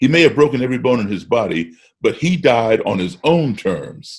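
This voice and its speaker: With an American accent and vocal fry, a man speaks at a medium pitch and a moderate pace, his pitch swinging very widely. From grew up partly in Africa and Europe, US-based. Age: 60s. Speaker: musician. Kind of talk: casual chat. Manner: repeats words when starting sentences.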